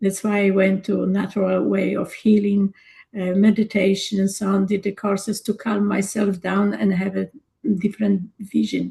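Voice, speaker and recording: A woman talks with a Polish accent. Her tone is dark and mellow, with vocal fry. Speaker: energy coach and former nurse. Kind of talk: casual discussion.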